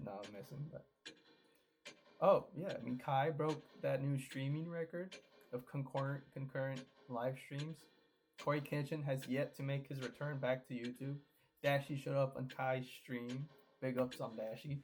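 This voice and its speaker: A somewhat breathy man at a moderate pace, fairly even in intonation, with long, frequent pauses. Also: fairly high pitch for a man. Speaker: gaming YouTuber. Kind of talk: casual vlog monologue. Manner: soft-spoken; halting, repetitive.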